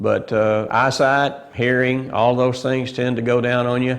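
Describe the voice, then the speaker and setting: Audible room echo hangs around this man. He talks at a fairly slow pace. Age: 70s. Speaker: bowhunter. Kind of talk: interview talk to camera. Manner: halting, many fillers.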